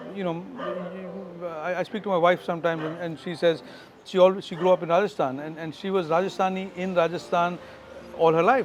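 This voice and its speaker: A man with a Keralan accent and a high pitch talks at a fairly quick pace with fairly even intonation, long, frequent pauses, and big swings in loudness. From India, Goa. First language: Malayalam. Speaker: tech company founder and CEO. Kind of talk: interview. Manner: halting, many fillers and repetitions.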